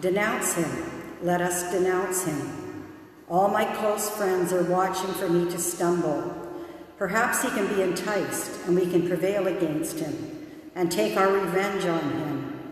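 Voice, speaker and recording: A woman speaks at a fairly slow pace with ordinary pitch variation, and strong room echo surrounds her voice. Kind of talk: scripture reading. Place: church.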